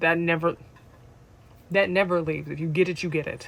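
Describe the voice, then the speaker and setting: A soft-spoken woman. Her pitch sits very deep and low. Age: 30s. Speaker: vlogger. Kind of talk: casual chat. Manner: animated. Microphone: no microphone.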